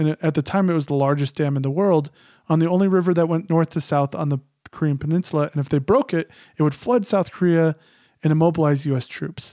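A man with an American accent speaks at a very fast pace in a fairly high pitch with ordinary pitch variation and a dark, mellow tone, in a very clean recording with a silent background and a dry, close sound with no echo. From Phoenix, Arizona. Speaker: writer. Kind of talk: interview.

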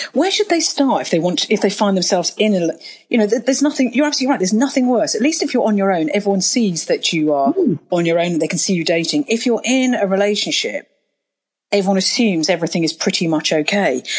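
Very fast speech from a woman at a medium pitch, somewhat breathy, with very wide pitch swings and very even loudness. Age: 50s. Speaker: podcast host. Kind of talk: interview.

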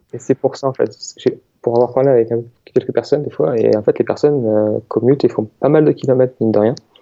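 Fairly level intonation from a man talking fairly quickly. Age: 20s. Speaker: researcher. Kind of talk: casual interview.

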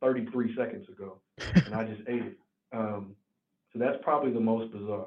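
With a slight Southern US accent, a man talks at a moderate pace, using long, frequent pauses and big swings in loudness. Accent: slight Southern country. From Tennessee, near Nashville. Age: 20s. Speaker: healthcare executive. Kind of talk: interview. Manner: halting.

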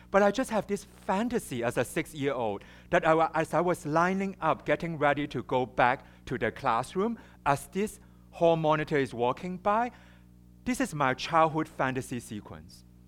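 A man with a Chinese accent speaks at a moderate pace and a fairly high pitch, with very wide pitch swings. The recording is very clean, with a silent background. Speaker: psychotherapist and speaker. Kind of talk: public talk. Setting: stage with audience and microphone.

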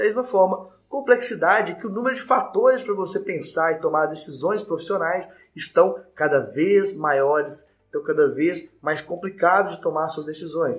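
With music playing behind him, a man speaks in a high voice with lively intonation and hardly any pauses. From Brazil, Minas Gerais (Belo Horizonte). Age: 20s. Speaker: lawyer and law professor. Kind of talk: live-streamed lecture with audience Q&A. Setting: online live stream. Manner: fast.

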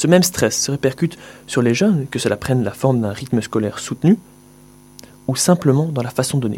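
Somewhat breathy and dark, mellow in tone, a man talks at a fairly quick pace yet leaves long, frequent pauses. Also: medium pitch for a man, lively intonation. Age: young. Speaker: young writer, former student. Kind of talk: reading own essay aloud.

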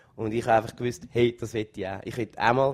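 Fairly even intonation carries this man's medium-pitched speech. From Switzerland, Zürich. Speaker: singer in a band. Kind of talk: interview. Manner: halting.

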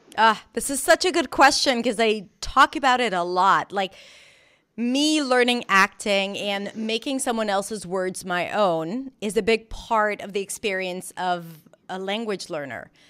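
A woman's fairly high voice with a North American accent, a bright, sharp tone, lively intonation and a fairly slow pace, on a very clean recording with a silent background. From Israel. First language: Hebrew. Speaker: pronunciation coach and actress. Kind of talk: casual interview.

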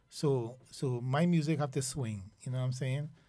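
A man's fairly high, somewhat breathy voice with a dark, mellow tone and ordinary pitch variation. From Trinidad and Tobago, Port of Spain. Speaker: soca artist. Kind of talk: casual chat. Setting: studio.

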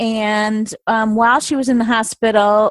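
The sound is dry and close, with no echo, as a woman speaks at a fairly slow pace. Her pitch is fairly high and moves very little.

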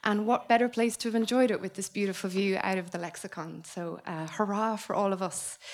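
The speaker has an Irish accent and fairly even intonation. The pace is fairly quick, with hardly any pauses. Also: woman, medium pitch for a woman. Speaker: book editor. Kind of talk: event MC. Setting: stage with audience.

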